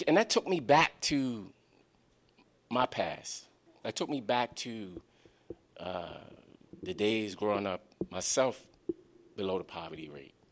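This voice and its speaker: With an American accent, a man talks at a medium pitch and fairly slow pace, with long, frequent pauses. His pitch swings are very wide, his loudness swings big, and the sound is dry and close with no echo. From Baltimore, Maryland (West Baltimore). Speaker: author and youth advocate. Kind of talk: book talk to live audience. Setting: library event with audience.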